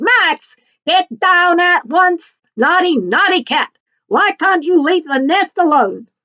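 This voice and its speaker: A woman shouts in a put-on character voice at an extremely high pitch, with lively intonation and a fairly slow pace. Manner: shouting, scolding.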